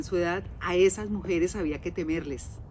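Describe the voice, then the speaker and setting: A woman with an unremarkable speaking voice talks at a fairly slow pace and fairly low pitch. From Colombia. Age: 60s. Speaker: podcast host. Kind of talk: casual monologue.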